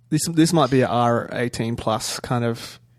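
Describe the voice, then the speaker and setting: A man speaks in an Australian accent at medium pitch. His pace is fairly slow. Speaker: actor. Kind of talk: casual chat.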